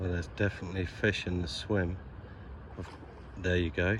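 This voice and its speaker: The man is soft-spoken. His pitch is very deep and low. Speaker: carp angler vlogger. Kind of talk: casual vlog narration. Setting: outdoors.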